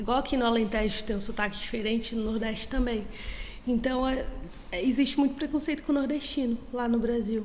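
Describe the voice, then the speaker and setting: In a Bahian accent, a woman speaks at a high pitch with fairly even intonation, with audible room echo. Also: fairly quick pace. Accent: Brazilian Portuguese, Northeastern (Bahian). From Brazil, Bahia (Northeast). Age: 30s. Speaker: student. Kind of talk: casual interview.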